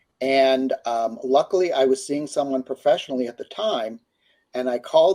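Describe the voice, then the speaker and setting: In a very clean recording with a silent background, a man speaks at a moderate pace. His dark, mellow tone sits at a fairly high pitch, with lively intonation. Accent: American. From US, Pittsburgh, Pennsylvania. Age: 70s. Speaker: career counselor and author. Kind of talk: interview testimony.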